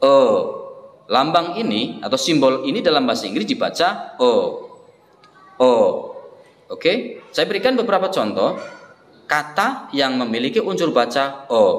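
With long, frequent pauses, a man speaks amid audible room echo. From Indonesia. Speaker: English teacher. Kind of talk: tutorial. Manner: repeats words slowly for practice. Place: classroom. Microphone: phone near.

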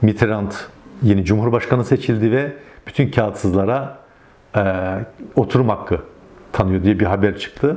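Fairly low in pitch, a man speaks at a moderate pace with ordinary pitch variation, very even loudness, and long, frequent pauses. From Turkey, Yozgat (Sorgun); Turkey. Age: 50s. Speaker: Alevi community organizer, former local councillor; interviewee. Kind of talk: interview testimony. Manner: hesitant, many filler sounds. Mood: calm, reflective storytelling. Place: home room. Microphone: lapel.

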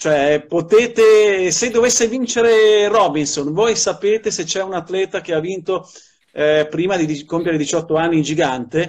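A man talks at a moderate pace, his high pitch showing ordinary pitch variation. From Milan. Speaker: sports journalist and commentator. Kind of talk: interview answer. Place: home room. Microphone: video call.

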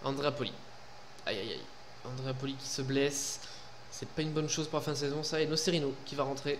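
With light background noise, a man talks fairly quickly at a fairly high pitch, broken by long, frequent pauses. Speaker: gaming YouTuber. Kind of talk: casual gameplay commentary. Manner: animated, informal. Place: home room.

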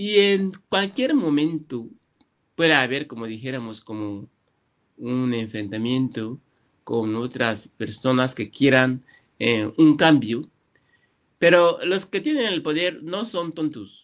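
A man speaks at a very slow pace with lively intonation. Long, frequent pauses break it up against a quiet background. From Equatorial Guinea, Malabo, Annobonese parents; Equatorial Guinea. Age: 50s. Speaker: writer; interviewee. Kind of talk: interview. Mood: earnest, reflective. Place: home room. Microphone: webcam.

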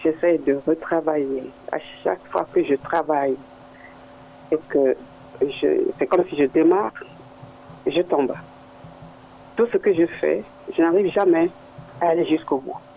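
A man's fairly high voice at a fairly slow pace, with ordinary pitch variation, long and frequent pauses, and noticeable background noise. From Africa. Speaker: caller. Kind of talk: call-in. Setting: phone call.

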